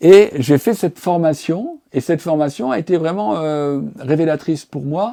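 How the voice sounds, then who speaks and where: A man with a dark, mellow tone and fairly high pitch, hardly any pauses, on a very clean recording with a silent background. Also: ordinary pitch variation, fairly slow pace. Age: 60s. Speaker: professional mediator and coach. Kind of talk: documentary interview. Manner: halting, many hesitations and repetitions.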